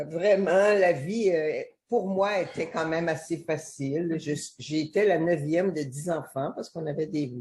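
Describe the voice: A woman speaks low in pitch at a fairly slow pace, with few pauses. Her slightly mellow tone has a slightly husky edge and ordinary pitch variation.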